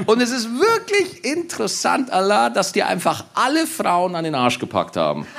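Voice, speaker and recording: An animated man speaks at a moderate pace with hardly any pauses, with noticeable background noise behind him. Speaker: comedian and podcast host. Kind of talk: live podcast recording with audience banter. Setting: live stage with audience, outdoors in rain.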